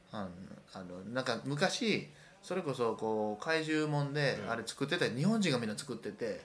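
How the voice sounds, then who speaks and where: Over noticeable background noise, a man talks at a medium pitch. His pace is moderate and his intonation lively. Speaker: artist. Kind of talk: casual chat. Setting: rented apartment room.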